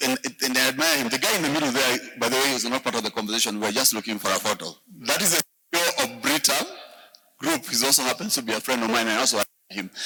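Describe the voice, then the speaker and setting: A man talks at a very fast pace with a medium pitch. Long, frequent pauses break up his speech. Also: ordinary pitch variation. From Kenya. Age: 50s. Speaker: business mentor and speaker. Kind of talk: masterclass talk to young audience. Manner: halting, frequent repetitions.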